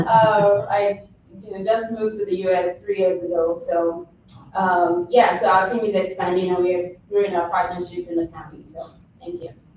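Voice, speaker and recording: Noticeable noise in the background behind fairly level intonation. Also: woman, medium pitch for a woman, moderate pace, big swings in loudness. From Nigeria. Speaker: nutrition educator. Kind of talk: public presentation at board meeting. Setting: county board meeting.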